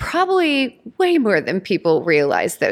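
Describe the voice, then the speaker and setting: Heard against a silent background, this very clean recording features a woman. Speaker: podcast host. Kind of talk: casual chat. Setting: in person. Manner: animated.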